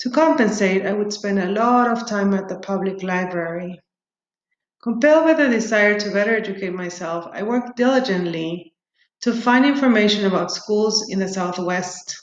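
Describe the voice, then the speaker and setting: The pace is moderate, with ordinary pitch variation. The speaker has a Spanish accent. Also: woman, medium pitch for a woman. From Peru. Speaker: doctoral student. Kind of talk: prepared self-introduction, read aloud.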